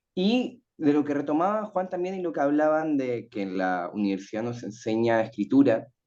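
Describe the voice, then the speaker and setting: A man speaks in a sing-song way at a moderate pace, his tone dark and mellow. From Chile. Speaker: writing teacher and panelist. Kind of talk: panel talk. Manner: sing-song intonation.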